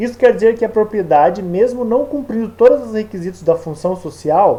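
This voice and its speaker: A man talks with ordinary pitch variation. His tone is dark and mellow. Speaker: teacher. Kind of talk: lecture. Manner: casual.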